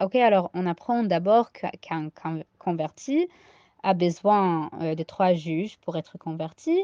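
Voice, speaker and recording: A woman's fairly low-pitched voice, dark and mellow in tone, at a very slow pace. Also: ordinary pitch variation, quiet background. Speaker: Talmud teacher. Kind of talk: Talmud study lecture. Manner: hesitant, many fillers.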